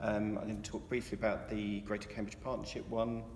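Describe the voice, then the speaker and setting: This is a man with an English accent. Audible room echo surrounds his voice. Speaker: campaigner. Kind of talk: informal talk. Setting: meeting hall with audience. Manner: fast; halting, many fillers.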